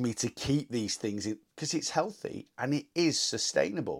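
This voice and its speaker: On a very clean recording with a silent background, a man uses a plain, everyday voice with a fairly high pitch and lively intonation. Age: 40s. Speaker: weight loss podcaster. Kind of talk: solo monologue. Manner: casual, unscripted.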